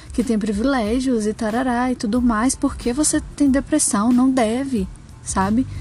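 This woman has a fairly high pitch. Her voice is somewhat breathy. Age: 20s. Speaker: podcaster. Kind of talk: solo monologue. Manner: hesitant, many fillers.

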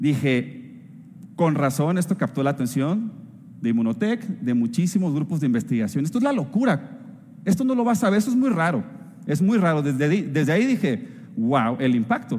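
With an animated tone and very wide pitch swings, a man talks at a fairly high pitch and moderate pace, keeping his loudness very even. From northern Mexico. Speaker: food scientist. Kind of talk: company event talk.

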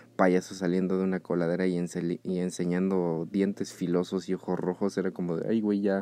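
A man with a Mexico City accent speaks at a very deep, low pitch in a dark, mellow tone, recorded with a dry, close sound and no echo against a quiet background. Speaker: podcast host. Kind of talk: casual solo podcast monologue. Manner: hesitant, many fillers.

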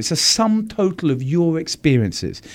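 A man with a British accent and very wide pitch swings. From London, England. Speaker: advertising agency executive. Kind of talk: interview.

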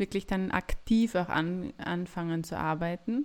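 The recording is very clean, its background silent. It features an unremarkable speaking voice with ordinary pitch variation. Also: woman. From Austria, Graz (Styria). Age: 30s. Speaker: midwife and podcast co-host. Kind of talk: casual chat.

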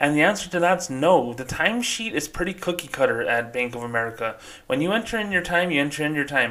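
Fairly high male voice, lively in intonation, at a very fast pace. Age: 30s. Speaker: podcast host, former bank employee. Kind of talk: solo podcast monologue. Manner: casual, conversational with fillers.

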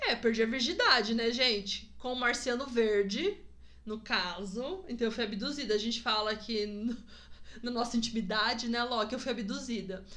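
A woman talks at a moderate pace in a fairly high pitch with ordinary pitch variation. Audible room echo is present. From Presidente Prudente, interior of São Paulo state, Brazil. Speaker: podcast guest, host's wife. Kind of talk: casual chat. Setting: in-person recording at home. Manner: talkative.

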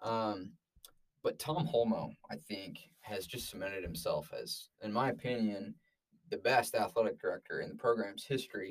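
A man talks at a moderate pace. He has a Utah accent. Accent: American, Utah. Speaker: sports podcast co-host, student. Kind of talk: casual sports chat.

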